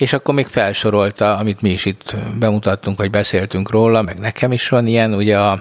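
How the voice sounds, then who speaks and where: A man talks in a fairly low voice. His intonation is monotone and flat. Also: very even loudness. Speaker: podcast co-host. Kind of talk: casual chat. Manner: stammering, repeats words.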